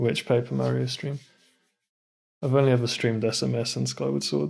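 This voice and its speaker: Pitch swings very widely as a man talks fairly quickly. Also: medium pitch for a man. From West London, England. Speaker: video game speedrunner streamer. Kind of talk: casual live-stream chat. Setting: live stream.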